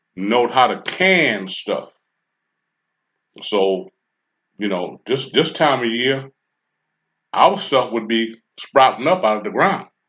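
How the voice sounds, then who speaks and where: A fairly slow pace broken by long, frequent pauses. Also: man. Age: 60s. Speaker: commentary channel host. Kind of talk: casual monologue. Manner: halting, with frequent fillers.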